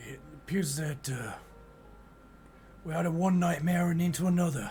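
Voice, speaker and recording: A man uses a put-on character voice with a high pitch and fairly even intonation. He keeps a moderate pace against clear background noise. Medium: actual play. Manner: breezy, colloquial.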